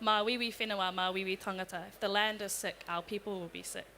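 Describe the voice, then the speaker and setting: With a New Zealand accent, a woman speaks in a medium pitch, her tone bright and sharp and her intonation fairly even. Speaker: youth climate activist. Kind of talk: panel discussion.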